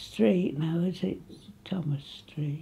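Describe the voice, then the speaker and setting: In an East Midlands accent, a woman speaks with a dark, mellow tone. Her voice is somewhat breathy. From England, Nottinghamshire (Retford); Nottinghamshire, England. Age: 80s+. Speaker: local elder reminiscing. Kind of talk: oral history interview; interview answer. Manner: halting. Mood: cheerful, reminiscing. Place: home room.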